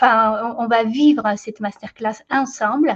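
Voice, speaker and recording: A woman with a Latin American Spanish accent, fairly high pitch, somewhat breathy, fairly even intonation, very slow pace. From Ecuador. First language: Spanish (speaking French). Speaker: company founder and trainer. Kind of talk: live online masterclass. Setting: live video webinar. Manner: hesitant, many filler sounds.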